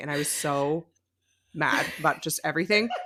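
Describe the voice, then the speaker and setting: With an American accent, a woman speaks in an animated tone with ordinary pitch variation. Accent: American accent, non-regional by own account. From California. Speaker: podcast co-host. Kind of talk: casual chat.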